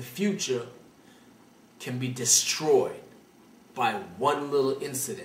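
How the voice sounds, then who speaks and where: In a Brooklyn accent, a man speaks at a fairly slow pace. Audible room echo can be heard. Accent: New York (Brooklyn). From Brooklyn, New York. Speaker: call-in advice show host. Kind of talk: call-in advice show.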